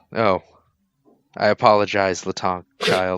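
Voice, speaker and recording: Doing a put-on character voice, a man growls in a very deep, low, raspy tone. He speaks fairly slowly with flat, monotone intonation. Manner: raspy and growly.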